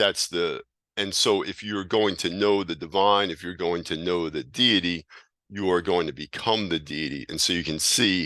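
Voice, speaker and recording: A man's very deep, low voice at a moderate pace, with ordinary pitch variation and a quiet background. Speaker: teacher of hermetic esotericism. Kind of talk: lecture. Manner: halting.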